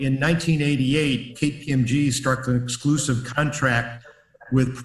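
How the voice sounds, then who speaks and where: Over noticeable background noise and audible room echo, a man with an American accent speaks at a moderate pace in a flat, monotone way. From US Midwest, Chicago. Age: 70s. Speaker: business consultant and author. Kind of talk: webinar presentation. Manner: hesitant fillers.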